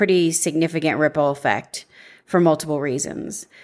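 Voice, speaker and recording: A normal speaking voice with ordinary pitch variation comes through on a very clean recording over a silent background. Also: woman. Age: 40s. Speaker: podcast host, life insurance agent. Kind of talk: solo podcast monologue.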